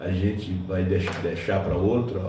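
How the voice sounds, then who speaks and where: Audible room echo and noticeable background noise are present. A man talks at a very slow pace. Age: 60s. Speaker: pastor. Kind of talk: sermon. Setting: church.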